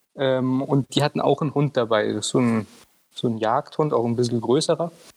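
This man has a medium-pitched voice with ordinary pitch variation. He keeps a moderate pace. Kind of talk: casual chat.

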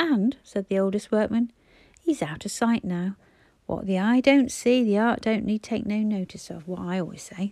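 With ordinary pitch variation, an unforced reading voice carries the words.

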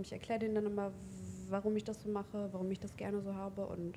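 A dark, mellow, somewhat breathy voice at a very fast pace. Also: woman. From Hildesheim, Lower Saxony, Germany. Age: 20s. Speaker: tattoo artist. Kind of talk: casual interview chat. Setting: in person, mobile recording setup.

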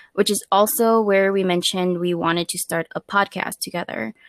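Speaking at a moderate pace, a woman with an ordinary speaking voice and medium pitch keeps her intonation fairly even, recorded very cleanly with a silent background and a dry, close sound with no echo. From Minnesota, Twin Cities. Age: 20s. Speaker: podcast co-host. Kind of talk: casual chat.

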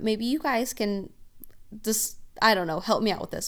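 A woman with a fairly high pitch speaks with ordinary pitch variation. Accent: Oklahoma. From Oklahoma. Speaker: podcast host. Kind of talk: scripted-style podcast monologue, casual.

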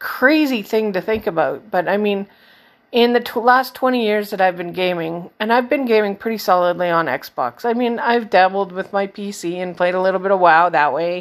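A woman's medium-pitched, ordinary speaking voice at a moderate pace, with ordinary pitch variation, in a very clean recording with a silent background. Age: 40s. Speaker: gaming podcast host. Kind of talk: casual solo podcast monologue.

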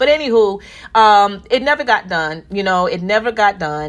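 In a very clean recording with a silent background, a woman with an American accent speaks in an animated tone at a moderate pace. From Newark, New Jersey. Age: 50s. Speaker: podcast host. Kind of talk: casual monologue with faith talk.

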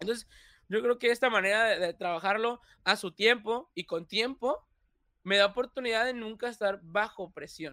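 In a bright, sharp tone, a man speaks at a fairly slow pace. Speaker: content creator. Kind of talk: casual chat. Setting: livestream.

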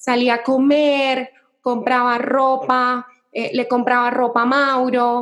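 A woman speaks at a very slow pace with a high pitch. Her intonation stays flat and monotone. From Colombia, Cali. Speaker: social media entrepreneur. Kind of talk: interview.

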